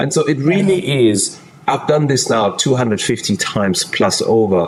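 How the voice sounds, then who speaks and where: Against noticeable background noise, a man with a non-native accent speaks at a fairly high pitch with very wide pitch swings. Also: moderate pace, very even loudness. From Germany. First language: not English. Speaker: executive transition coach. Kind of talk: podcast interview.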